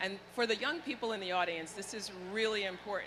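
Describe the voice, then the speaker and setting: A woman with an ordinary speaking voice at a fairly quick pace. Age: 60s. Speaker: healthcare executive. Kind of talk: panel discussion.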